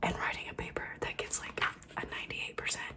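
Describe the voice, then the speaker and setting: Whispering, a woman is heard against noticeable background noise. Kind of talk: ASMR book triggers, casual talk to camera. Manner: whispered.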